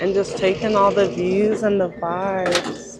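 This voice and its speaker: Against noticeable background noise, a woman talks very slowly at a medium pitch. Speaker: travel vlogger. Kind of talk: travel vlog narration. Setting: hot springs spa.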